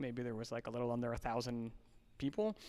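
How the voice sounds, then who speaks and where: A man speaks in a New Jersey accent. The recording is very clean, with a silent background. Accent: New Jersey American. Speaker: fitness nonprofit organizer. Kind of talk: podcast interview.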